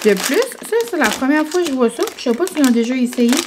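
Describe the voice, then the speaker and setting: A woman's moderately paced speech carries over noticeable background noise. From New Brunswick, Canada (Acadian French). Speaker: vlogger. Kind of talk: casual vlog talk to camera. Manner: chatty, many fillers (euh).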